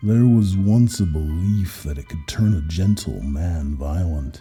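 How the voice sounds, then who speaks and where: Faint music plays in the background. Over it, a man talks with lively intonation. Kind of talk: hard-boiled first-person horror narration. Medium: read story. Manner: terse, weary.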